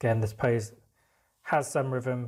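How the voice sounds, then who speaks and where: A somewhat breathy male voice at medium pitch, monotone and flat in intonation, at a fairly slow pace, in a very clean recording with a silent background. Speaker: art teacher. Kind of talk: tutorial.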